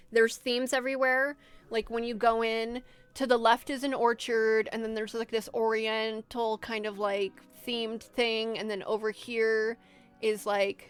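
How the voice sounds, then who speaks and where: A woman talks at a fairly high pitch while music plays in the background. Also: moderate pace. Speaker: streamer. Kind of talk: casual chat. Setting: live stream. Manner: animated.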